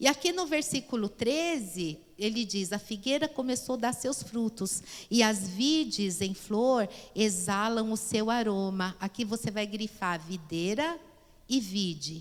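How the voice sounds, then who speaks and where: In a plain, everyday voice, a woman speaks at a fairly high pitch and a fairly slow pace with lively intonation. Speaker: pastor and Bible teacher. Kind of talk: Bible class lecture.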